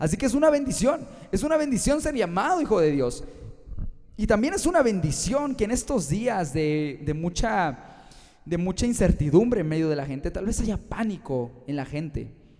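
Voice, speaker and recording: In a central Mexican accent, a man speaks at a moderate pace with a high pitch and a dark, mellow tone. His pitch swings very widely. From Mexico, Guanajuato. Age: 20s. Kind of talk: sermon-style podcast monologue.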